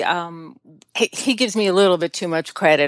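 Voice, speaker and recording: A woman with an American accent and an ordinary speaking voice talks at a moderate pace and medium pitch. Her ordinary pitch variation comes through a dry, close sound with no echo. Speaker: guest, blogger's wife. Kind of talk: casual interview.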